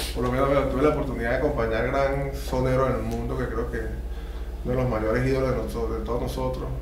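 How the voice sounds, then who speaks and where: Speaking at a very fast pace in a flat monotone, a man with a very deep, low pitch is heard through audible room echo and noticeable background noise. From Venezuela, Valles del Tuy. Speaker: trombonist. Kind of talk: casual interview. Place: studio.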